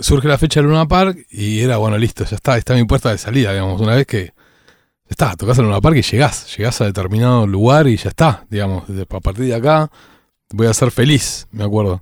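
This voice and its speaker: In a very clean recording with a silent background, a man speaks fairly quickly in an ordinary speaking voice with lively intonation. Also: medium pitch for a man. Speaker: rock musician. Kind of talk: oral history interview.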